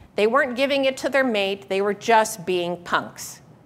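At a moderate pace, a woman talks. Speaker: presenter. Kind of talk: lecture. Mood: humorous storytelling. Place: hall. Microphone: lapel.

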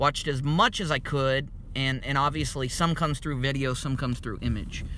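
A man with an American accent has a fairly high voice and a bright, sharp tone, keeping his intonation fairly even. The sound is dry with no echo, with light background noise. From US, town without an NBA team. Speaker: basketball commentator. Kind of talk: monologue. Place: car. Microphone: phone near.

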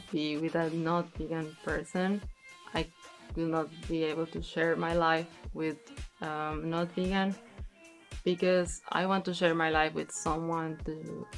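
Faint music plays behind a woman whose fairly low voice moves at a fairly slow pace in a flat monotone, broken by long, frequent pauses. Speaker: interviewee. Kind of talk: interview answer. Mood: serious, reflective. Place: studio.

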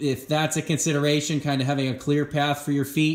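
A man speaks against a quiet background, with audible echo from the room. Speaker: tractor owner reviewer. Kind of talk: tutorial. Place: garage. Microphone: phone near.

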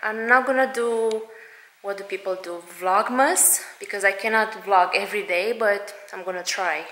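A woman talks at a moderate pace with ordinary pitch variation and big swings in loudness. Audible room echo is present. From Romania. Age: 30s. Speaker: stay-at-home mom vlogger. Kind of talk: casual talk to camera. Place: home room. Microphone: phone near.

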